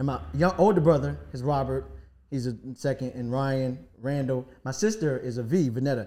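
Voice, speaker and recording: This is a plain, everyday voice of a man with an American accent and medium pitch. He talks at a moderate pace with lively intonation. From Washington, D.C. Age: 40s. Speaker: rapper and producer. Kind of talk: casual chat.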